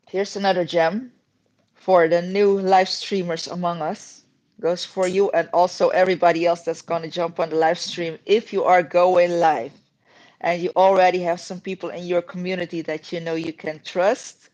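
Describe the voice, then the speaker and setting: With a Dutch accent, a woman with a fairly low pitch speaks at a moderate pace against a quiet background. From Netherlands. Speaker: YouTuber. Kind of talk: casual chat. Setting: live stream. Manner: animated.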